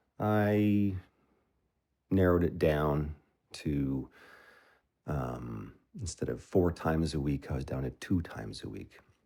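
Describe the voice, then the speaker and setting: A man speaks with a very deep, low pitch and a dark, mellow tone at a fairly slow pace. His intonation is lively, broken by long, frequent pauses. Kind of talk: ASMR affirmation talk. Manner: casual, conversational.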